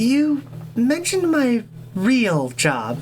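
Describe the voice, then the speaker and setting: A put-on character voice sits at a fairly high pitch over clear background noise. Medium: read story.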